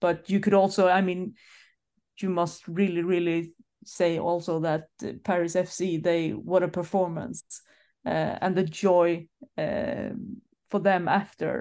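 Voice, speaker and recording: Over a quiet background, a woman with a Swedish accent and a fairly low pitch speaks at a very slow pace, her dark, mellow tone carrying fairly even intonation between long, frequent pauses. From Sweden. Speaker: football journalist and club press manager. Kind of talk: casual chat.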